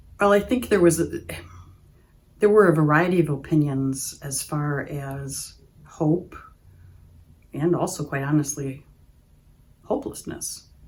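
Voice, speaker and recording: A woman with an Upper Midwest accent speaks at a very deep, low pitch with ordinary pitch variation, big swings in loudness and long, frequent pauses. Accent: Upper Midwest American. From Oshkosh, Wisconsin. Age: 60s. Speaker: patient giving testimonial. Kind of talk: testimony. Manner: hesitant, with frequent fillers.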